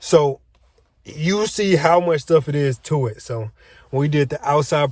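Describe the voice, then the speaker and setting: Male speech, somewhat breathy, with pitch that varies in an ordinary way. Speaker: trucking student vlogger. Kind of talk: casual vlog. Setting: on lunch break at training range.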